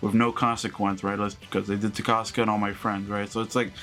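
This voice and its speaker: Music plays behind a man who talks fairly quickly. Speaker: anime reaction youtuber and streamer. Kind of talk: live reaction commentary. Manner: stuttering, halting; animated.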